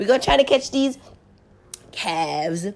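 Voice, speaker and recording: Fairly quick, upbeat delivery with vocal fry. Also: woman. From Jamaica. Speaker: beauty vlogger. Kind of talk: casual makeup tutorial voiceover. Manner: chatty, upbeat.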